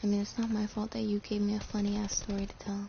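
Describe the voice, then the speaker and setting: Over noticeable background noise, a woman speaks quietly at a fairly quick pace. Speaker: gaming streamer. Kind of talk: casual live stream chat. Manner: talking quietly.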